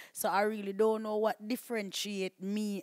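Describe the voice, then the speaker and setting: Recorded with a dry, close sound with no echo, a woman with a Jamaican accent speaks at a medium pitch and a moderate pace in a monotone, flat intonation. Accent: Jamaican patois. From Jamaica, Portland. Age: young. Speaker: video blogger. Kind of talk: interview. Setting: studio.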